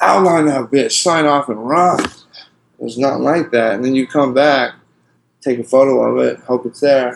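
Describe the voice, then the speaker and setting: A man talks at a moderate pace and medium pitch with ordinary pitch variation. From US West Coast, Portland area. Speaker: graffiti artist. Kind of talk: casual interview. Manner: animated.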